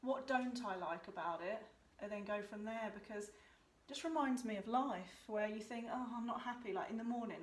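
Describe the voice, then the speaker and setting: A woman mumbles with ordinary pitch variation. Audible room echo and noticeable background noise fill the recording. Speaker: art tutor. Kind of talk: tutorial. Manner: casual, mumbling.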